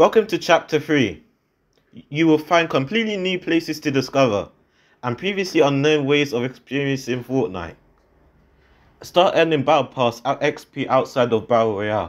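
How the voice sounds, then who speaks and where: This man has a normal speaking voice at a fairly high pitch. He talks at a moderate pace with lively intonation. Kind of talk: game trailer voice-over.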